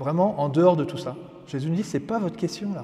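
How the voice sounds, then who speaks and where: Noticeable background noise accompanies a man who talks high in pitch with lively intonation. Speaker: priest. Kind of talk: religious teaching.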